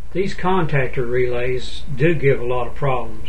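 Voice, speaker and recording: A man speaks over noticeable background noise. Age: 60s. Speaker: DIY home repair video maker. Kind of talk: tutorial.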